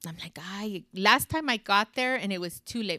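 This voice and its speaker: A woman speaks with an American accent at a moderate pace, her intonation lively and her tone bright and sharp. The sound is dry and close, with no echo. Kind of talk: casual chat.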